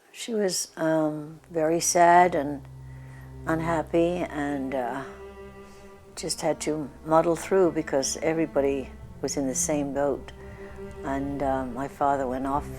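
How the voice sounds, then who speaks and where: A woman speaks at a very slow pace with a very deep, low pitch, fairly even intonation and long, frequent pauses, while music plays in the background. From London, England. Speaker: Blitz survivor. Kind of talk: interview answer.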